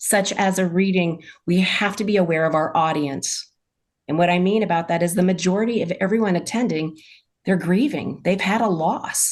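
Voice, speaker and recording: A woman speaks at a moderate pace with an ordinary speaking voice. Her medium pitch shows ordinary variation, her loudness stays very even, and the background is quiet. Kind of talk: casual chat.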